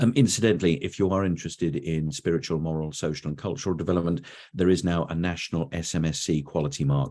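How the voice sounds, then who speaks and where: With an English accent, a man talks at a very fast pace with hardly any pauses, his very deep, low pitch showing ordinary variation. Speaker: education consultant, webinar presenter. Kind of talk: webinar presentation. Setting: online webinar. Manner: conversational, with frequent hesitations.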